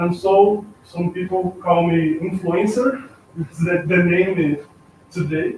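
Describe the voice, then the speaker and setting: Very slow speech in a Brazilian accent, with noticeable background noise. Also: man. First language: Portuguese. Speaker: artist and art teacher. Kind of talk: self-introduction at event. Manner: halting.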